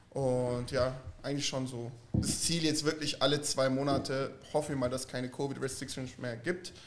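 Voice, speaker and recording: A man speaks at a moderate pace in a monotone, flat delivery. Noticeable background noise is present. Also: medium pitch for a man. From southern Germany (Stuttgart) and Florida. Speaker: vintage clothing dealer. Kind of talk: casual chat.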